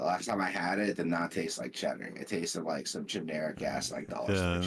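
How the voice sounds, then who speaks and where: Delivery comes at a fairly quick pace with fairly even intonation. Noticeable noise runs in the background. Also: man, very deep, low pitch for a man. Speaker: livestream co-host. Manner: casual, conversational.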